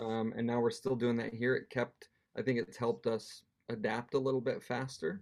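A man with an American accent uses a normal speaking voice at medium pitch, keeping a moderate pace, very even loudness and fairly even intonation. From United States. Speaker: missionary church worker. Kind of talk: casual interview.

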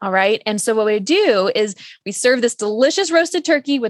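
A woman with a fairly high pitch is heard in a very clean recording with a silent background and a dry, close sound with no echo. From Texas, San Antonio. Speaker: cookbook author and nutritionist. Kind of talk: interview conversation. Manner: cheerful, warm.

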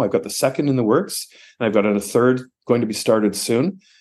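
Over a quiet background, a man talks in a normal speaking voice at a medium pitch and moderate pace, with ordinary pitch variation. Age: 60s. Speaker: retiring teacher and author. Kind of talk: casual interview chat. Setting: video call.

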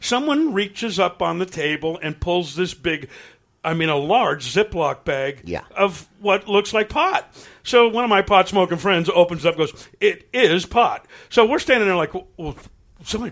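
Lively intonation marks this man's high-pitched voice. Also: moderate pace. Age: 60s. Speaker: rock musician. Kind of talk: casual interview. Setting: studio.

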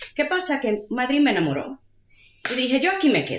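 A woman's high pitch with lively intonation. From Puerto Rico. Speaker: digital analytics manager. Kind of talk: interview.

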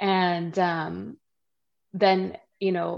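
A woman with a western Canadian accent speaks over a quiet background. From Canada. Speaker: bereaved mother and grief support founder. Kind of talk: interview testimony. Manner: chatty.

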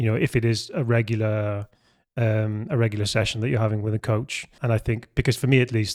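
A man's medium-pitched voice at a fairly quick pace, fairly even intonation, dry and close with no echo. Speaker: podcast host. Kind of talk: casual conversation podcast. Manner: stumbles over intro, laughs.

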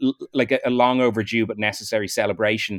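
The speaker has an Irish accent, heard on a very clean recording with a silent background. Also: man, dry, close sound with no echo. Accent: mild Irish. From Ireland. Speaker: film director. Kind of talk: casual chat.

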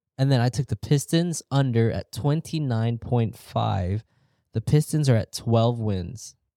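Delivered at a fairly slow pace, a man's medium-pitched voice has a dark, mellow tone and ordinary pitch variation, with a dry, close sound and no echo. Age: 30s. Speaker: comedy podcast co-host. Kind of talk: casual chat.

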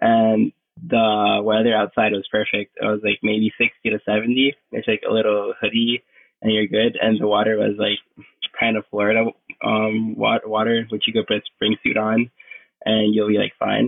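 A man with a Puerto Rican accent, a fairly low pitch and monotone, flat intonation. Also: moderate pace, very even loudness. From Puerto Rico. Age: 20s. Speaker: pro surfer. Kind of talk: casual interview.

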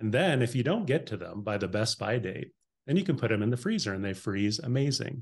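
A somewhat breathy, medium-pitched male voice, fairly quick and lively in intonation. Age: 50s. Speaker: meal delivery company founder. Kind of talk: interview.

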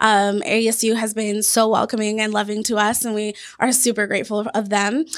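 A woman with an American accent, fairly high pitch, monotone, flat intonation and a fairly quick pace. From Washington State, US. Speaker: sports team philanthropy director. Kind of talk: interview.

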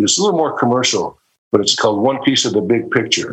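With an American accent, a man speaks in a plain, everyday voice, fairly high in pitch and lively in intonation. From Ohio, Cleveland. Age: 60s. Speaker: session guitarist. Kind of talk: interview.

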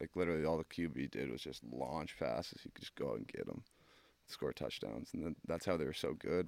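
Speaking at a fairly quick pace with a Canadian accent, a man uses a very deep, low pitch, ordinary pitch variation, and vocal fry. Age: 20s. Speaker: pro hockey player. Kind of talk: casual chat.

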